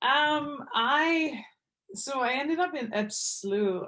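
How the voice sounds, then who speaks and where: With a Quebec accent, a woman speaks with ordinary pitch variation. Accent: French Quebecois. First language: French. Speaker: professional hockey player. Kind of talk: podcast interview.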